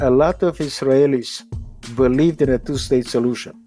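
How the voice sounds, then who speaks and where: Over music in the background, a man talks at a fairly slow pace and a medium pitch. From Czernovitz, Romania (now Ukraine). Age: 80s+. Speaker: Holocaust survivor and motivational speaker. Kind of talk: podcast interview answer.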